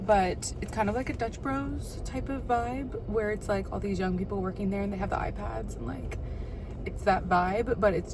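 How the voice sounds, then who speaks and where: Noticeable background noise fills the recording, along with audible room echo. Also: woman. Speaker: vlogger, new mom. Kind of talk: casual vlog chat. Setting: in a car. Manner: chatty, filler-heavy; whispering a little while baby sleeps.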